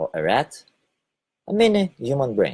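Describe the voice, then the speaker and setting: A man speaks with a Lithuanian accent, somewhat breathy, with very wide pitch swings. The sound is dry and close, with no echo. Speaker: spiritual video blogger. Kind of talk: casual monologue broadcast. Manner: hesitant, with fillers.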